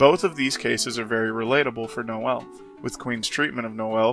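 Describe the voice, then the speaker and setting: A man with a medium pitch talks at a fairly quick pace over music in the background. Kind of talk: video essay narration.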